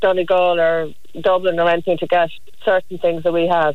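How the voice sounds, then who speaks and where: A woman speaks with an Irish accent. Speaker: archaeologist. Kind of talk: casual chat.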